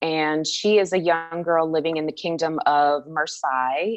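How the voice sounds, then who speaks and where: Music sounds in the background. A woman speaks at a fairly low pitch. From Anchorage, Alaska. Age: 30s. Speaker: author. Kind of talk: interview.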